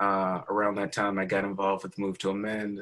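A man talks at a fairly quick pace with a fairly low pitch. His tone is bright and sharp, and his intonation is monotone and flat. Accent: American. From US South, Alabama. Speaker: city council member and activist. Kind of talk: interview.

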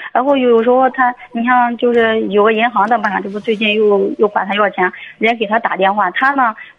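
Over noticeable background noise, the words come fairly quickly in fairly even intonation. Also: woman. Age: 40s. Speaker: beautician, caller. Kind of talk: phone call-in advice. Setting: phone call.

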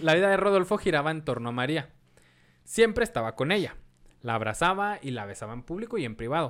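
A man with a Mexican accent speaks very fast at a fairly high pitch. His pitch swings very widely. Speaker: podcast host and history storyteller. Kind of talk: history storytelling narration; casual chat.

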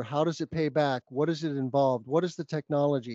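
An unremarkable speaking voice from a man in an American accent, fairly high-pitched, fairly even in intonation and fairly quick. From New Mexico, US. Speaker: solar business development director and podcaster. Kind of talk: interview.

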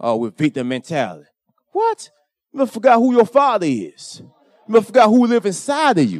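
A man talks at a fairly quick pace in an animated tone, with big swings in loudness. The sound is dry and close, with no echo. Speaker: lay preacher. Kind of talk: sermon. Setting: church.

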